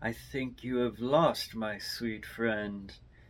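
With a put-on character voice at medium pitch, a man speaks at a very slow pace. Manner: menacing, mocking.

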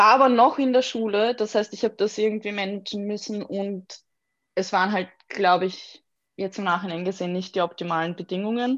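A woman's plain, everyday voice at medium pitch, fairly quick in pace with ordinary pitch variation, against a quiet background. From Austria, Vienna. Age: 20s. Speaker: graphic designer. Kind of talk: interview conversation.

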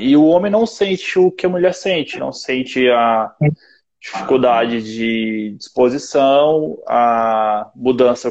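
A man with a plain, everyday voice, medium in pitch, with ordinary pitch variation. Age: 20s. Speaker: personal trainer. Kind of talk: casual chat. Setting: online video live stream.

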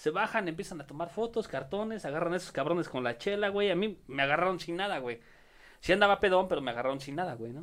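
Speaking at a very fast pace, a man with a high pitch uses lively intonation on a very clean recording with a silent background. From Mexico City (Iztapalapa). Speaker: comedian. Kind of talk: casual chat with comic storytelling.

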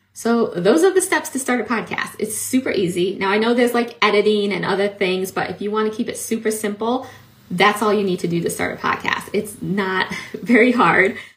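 A woman at medium pitch talks at a fairly quick pace with ordinary pitch variation over noticeable background noise. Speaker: podcast host and coach. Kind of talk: solo educational talk. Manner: fast talker.

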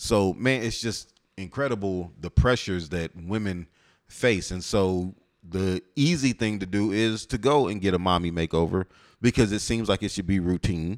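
A normal speaking voice from a man, fairly low in pitch, with ordinary pitch variation and a moderate pace. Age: 40s. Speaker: podcast host, married man. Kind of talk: casual chat.

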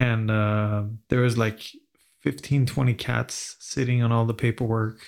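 A man talks at a fairly slow pace in a medium pitch, his intonation fairly even and his loudness very even. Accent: Swedish. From Sweden. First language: Swedish. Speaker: podcast host. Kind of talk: casual chat.

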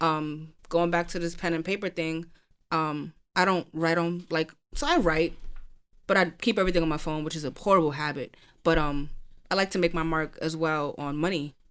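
On a very clean recording with a silent background, a woman with a New York accent speaks at a moderate pace in a fairly low, monotone voice with flat intonation. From Brooklyn, New York. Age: 20s. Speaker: poet. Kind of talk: casual chat.

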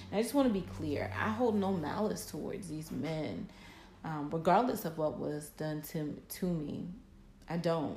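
Amid noticeable background noise and audible room echo, a woman with a fairly low pitch speaks at a fairly slow pace in an animated tone with very wide pitch swings. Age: 30s. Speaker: podcast host and poet. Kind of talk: casual monologue.

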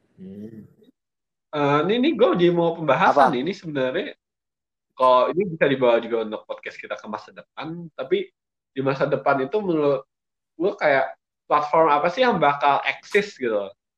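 A fairly high-pitched man speaks with very wide pitch swings and big swings in loudness. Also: fairly quick pace. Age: 20s. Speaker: podcast co-host. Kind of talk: casual chat.

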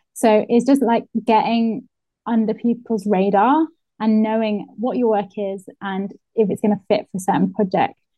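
At a moderate pace, a somewhat breathy woman speaks with a fairly high pitch and fairly even intonation. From northeast England. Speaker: illustrator and muralist. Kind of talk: casual interview.

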